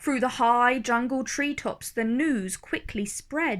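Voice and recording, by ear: With a fairly bright tone and a fairly high pitch, a woman speaks slowly with ordinary pitch variation.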